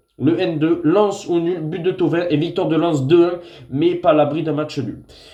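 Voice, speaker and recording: Audible room echo surrounds a man with a high pitch who speaks at a moderate pace with fairly even intonation. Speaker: football tipster. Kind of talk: football predictions vlog. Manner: hesitant with frequent fillers.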